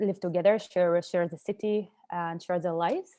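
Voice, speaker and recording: Over a quiet background, a woman's fairly low voice with a dark, mellow tone and monotone, flat intonation. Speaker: peace activist. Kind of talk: panel discussion.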